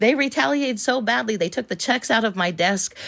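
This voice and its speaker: A woman is speaking. Her pace is very fast. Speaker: caller filing a complaint. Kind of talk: complaint phone call.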